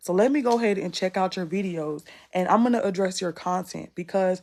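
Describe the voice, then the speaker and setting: Against a quiet background, a woman talks at a moderate pace with an American accent. She has an unremarkable speaking voice. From US South, North Carolina (Rocky Mount). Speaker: content creation coach. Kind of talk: live masterclass / Q&A. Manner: casual, conversational.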